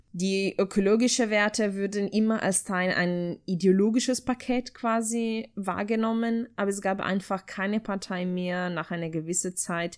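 A woman speaks with an Italian accent at a moderate pace, her pitch medium and her intonation fairly even. The recording is very clean, with a silent background. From Italy, Ferrara (Emilia-Romagna). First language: Italian (speaking German). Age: 20s. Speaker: political scientist, foundation staff member. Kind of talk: interview answering questions.

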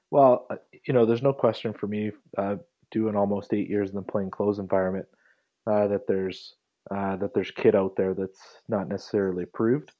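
In a western Canadian accent, a man talks at a fairly quick pace. His pitch is fairly low and his intonation fairly even. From Calgary, Alberta, Canada. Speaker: police trainer. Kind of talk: interview conversation. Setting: phone call.

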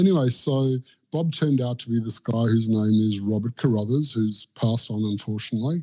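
With an Australian accent, a man speaks at a medium pitch and a fairly quick pace, his dark, mellow tone showing ordinary pitch variation. The very clean recording has a silent background and a dry, close sound with no echo. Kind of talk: casual chat. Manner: animated.

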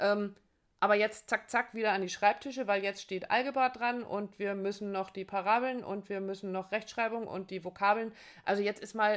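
A woman talks in a normal speaking voice at medium pitch and a moderate pace. Her intonation is fairly even, and the recording is very clean with a silent background. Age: 50s. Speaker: relationship podcast host and coach. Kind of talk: casual chat.

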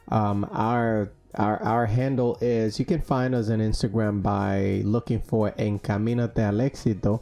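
Over a quiet background, a man's voice comes through with a dark, mellow tone. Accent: Spanish. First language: Spanish. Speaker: podcast host. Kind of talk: casual interview chat. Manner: hesitant, many fillers.

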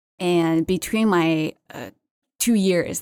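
A woman talks in a Chinese accent at fairly low pitch. Her intonation is lively. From China. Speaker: seafood market development manager. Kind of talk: interview. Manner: halting.

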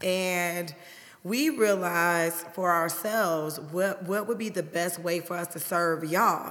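Fairly even intonation and a fairly slow pace come through audible room echo. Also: woman, fairly low pitch for a woman. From US Midwest, Chicago South Side. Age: 40s. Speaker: hairstylist and podcast co-host. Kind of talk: casual chat.

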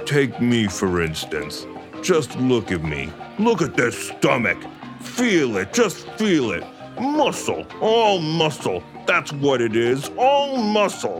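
A man uses a put-on character voice, soft-spoken and husky. He talks at a fairly slow pace with clear music in the background.

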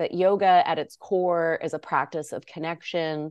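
Against a quiet background, a woman with a normal speaking voice and fairly low pitch talks at a moderate pace with fairly even intonation. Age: 40s. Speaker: yoga teacher and author. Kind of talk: interview.

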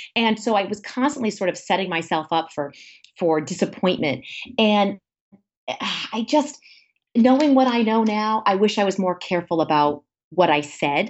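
Speaking at a moderate pace in an American accent, a woman uses a medium pitch with very wide swings up and down. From Rhode Island, US (Warwick). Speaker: former TV news anchor, business owner. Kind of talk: interview. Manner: animated, talkative.

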